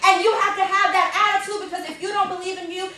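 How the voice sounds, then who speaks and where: With noticeable noise in the background, this woman delivers her words in an animated tone. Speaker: motivational speaker, arts educator. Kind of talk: motivational talk to students.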